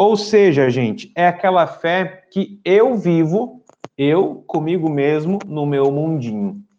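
Speaking at a very slow pace, a man uses lively intonation and a high pitch. His tone is dark and mellow. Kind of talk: lecture. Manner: clear.

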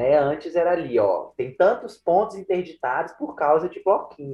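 The man's high voice swings very widely in pitch while he keeps a moderate pace. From interior of Minas Gerais, Brazil. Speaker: Portuguese language tutor. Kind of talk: casual chat.

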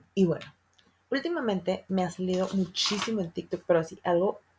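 Woman's voice at medium pitch, animated in tone, with ordinary pitch variation and a moderate pace. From northern Mexico. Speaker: podcast host. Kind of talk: casual chat.

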